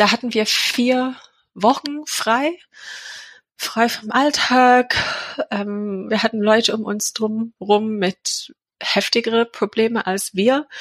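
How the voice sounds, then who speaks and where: A woman speaks at a very slow pace with a fairly high pitch, fairly even intonation, and long, frequent pauses, in a dry, close sound with no echo. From England. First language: English (speaking German). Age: 40s. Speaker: charity founder and mother of a sick child. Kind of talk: personal interview. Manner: hesitant, many filler sounds.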